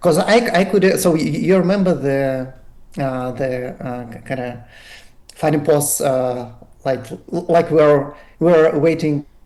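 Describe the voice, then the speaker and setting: Amid audible room echo, a man with a fairly high pitch and a dark, mellow tone talks at a very slow pace, with long, frequent pauses and big swings in loudness. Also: ordinary pitch variation. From Russia. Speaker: radiologist, crypto community member. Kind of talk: podcast interview. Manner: halting, many fillers and repeats.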